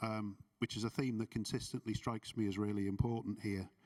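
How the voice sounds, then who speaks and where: A man speaks with a Liverpool accent. His pace is very fast. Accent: Scouse (Liverpool). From Liverpool, England. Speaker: transport programme director. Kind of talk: conference reflection talk. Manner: hesitant, many fillers.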